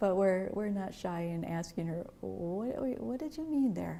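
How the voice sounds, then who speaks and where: Somewhat breathy, a woman speaks at a fairly slow pace with medium pitch, a dark, mellow tone and lively intonation. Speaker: training course student. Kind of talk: interview testimonial.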